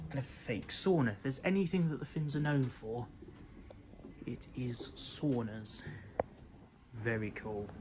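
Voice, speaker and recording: Lively intonation from a somewhat breathy man with a British accent, broken by long, frequent pauses. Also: medium pitch for a man, fairly slow pace. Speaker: travel vlogger. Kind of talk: travel vlog narration. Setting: airport lounge. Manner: hushed, keeping voice down.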